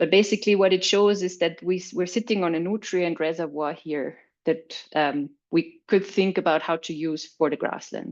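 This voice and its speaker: With a German accent, a woman speaks at a moderate pace in a fairly low voice with fairly even intonation over a quiet background. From Austria. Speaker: agricultural researcher. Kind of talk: webinar presentation. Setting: online webinar. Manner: some hesitations and repetitions.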